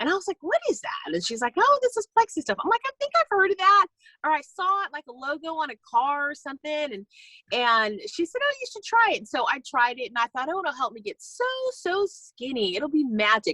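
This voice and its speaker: Raising and projecting her voice, a woman with an American accent sounds bright and sharp at an extremely high pitch, animated with very wide pitch swings, in a dry, close sound with no echo. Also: fairly quick pace. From California. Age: 50s. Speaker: network marketing distributor. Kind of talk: casual talk on a video call. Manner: fast.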